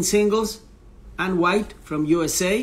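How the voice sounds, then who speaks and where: With a strong non-native accent, a man speaks at a fairly slow pace in a high pitch, using ordinary pitch variation. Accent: strong foreign accent in English. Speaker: tennis interviewer, coach. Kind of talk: live-stream interview intro. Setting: Instagram live stream. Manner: halting, many fillers.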